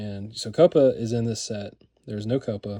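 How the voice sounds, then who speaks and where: Fairly low male voice with fairly flat, even intonation. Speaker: card collector. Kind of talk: casual video commentary. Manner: hesitant, filler-heavy.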